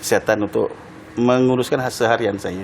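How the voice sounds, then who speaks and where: Over noticeable background noise, a man with a medium-pitched voice talks very fast with ordinary pitch variation. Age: 60s. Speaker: retired track cyclist. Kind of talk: TV interview. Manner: halting.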